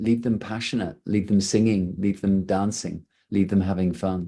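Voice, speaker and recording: The voice has a dark, mellow tone. It comes with an English accent. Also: man. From England. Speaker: rock band singer. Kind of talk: press conference interview.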